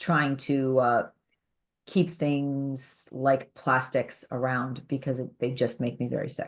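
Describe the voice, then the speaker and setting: Against a quiet background, a woman with a very deep, low pitch talks at a very slow pace in monotone, flat intonation. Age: 40s. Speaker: podcast co-host. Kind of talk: casual podcast chat.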